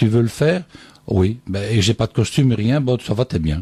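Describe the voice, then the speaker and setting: A man's tone is dark and mellow, with ordinary pitch variation. The sound is dry and close, with no echo. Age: 60s. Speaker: singer. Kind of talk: radio interview.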